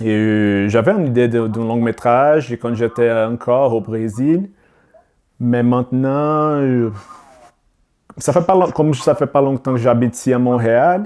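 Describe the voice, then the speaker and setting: Speaking at a fairly slow pace with long, frequent pauses, a man with a Brazilian accent has a medium pitch, a dark, mellow tone and ordinary pitch variation. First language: Portuguese (speaking French). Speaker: filmmaker. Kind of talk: podcast interview. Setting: video call. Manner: halting.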